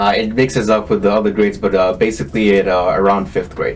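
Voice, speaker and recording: With a slight Kenyan accent, a man speaks at a fairly quick pace and a fairly low pitch, his loudness very even and his intonation fairly even. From Kenya, moved to US at ten. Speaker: tech entrepreneur. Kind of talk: interview. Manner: hesitant, many fillers.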